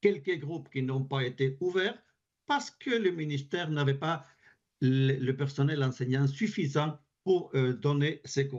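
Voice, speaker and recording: Speaking at a very slow pace with a Spanish accent, a man has a fairly high, somewhat breathy voice and ordinary pitch variation. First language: Spanish (speaking French). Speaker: advocacy group representative, French teacher. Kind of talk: parliamentary committee testimony. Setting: parliamentary committee hearing. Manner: halting, with repetitions.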